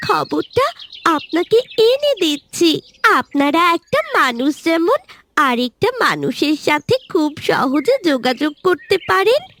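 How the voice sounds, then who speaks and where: This cartoonish character voice moves at a fairly slow pace with very wide pitch swings. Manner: warm, earnest.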